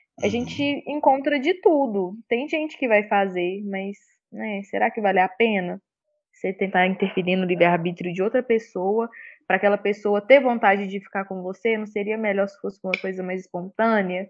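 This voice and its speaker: Using an ordinary speaking voice, a woman at a medium pitch talks at a moderate pace with ordinary pitch variation and big swings in loudness. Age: 20s. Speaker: tarot reader. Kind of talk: casual chat.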